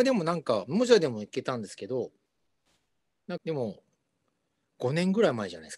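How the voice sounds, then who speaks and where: Over a quiet background, a man with a fairly high pitch talks at a very fast pace, with very wide pitch swings and big swings in loudness. He leaves long, frequent pauses. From Japan. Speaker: rock bassist and singer; guest. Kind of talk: casual interview. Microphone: video call.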